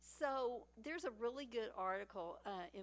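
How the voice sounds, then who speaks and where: A woman talks with a Texas accent. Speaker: panel speaker. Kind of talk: panel talk. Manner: animated.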